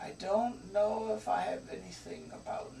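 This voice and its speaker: A man whispers in a put-on character voice at a fairly slow pace. Clear background noise can be heard. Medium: actual play. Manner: thoughtful, hesitant.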